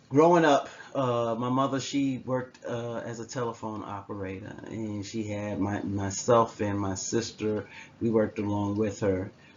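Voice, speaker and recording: With ordinary pitch variation and a medium pitch, this man keeps a moderate pace as noticeable noise fills the background. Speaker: psychology professor. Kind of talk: lecture. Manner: conversational.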